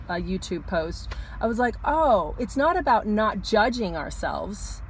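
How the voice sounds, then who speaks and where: A woman speaks at a moderate pace in a fairly high, somewhat breathy voice with lively intonation. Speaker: astrologer. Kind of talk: casual talk to camera, weekly astrology forecast. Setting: parked car.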